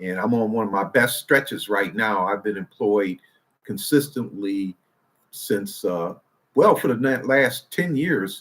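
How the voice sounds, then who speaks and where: Here a man with an American accent uses an ordinary speaking voice, fairly low in pitch with ordinary pitch variation. He talks at a fairly slow pace in a very clean recording with a silent background. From Detroit, US Midwest. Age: 60s. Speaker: IT professional and retirement channel host. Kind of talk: casual livestream talk. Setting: live stream. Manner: relaxed, with frequent fillers.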